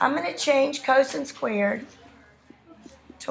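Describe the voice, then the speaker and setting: A woman talks at a fairly slow speed with ordinary pitch variation, her voice carrying audible room echo over noticeable background noise. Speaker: math teacher. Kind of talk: lecture. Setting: classroom. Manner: animated.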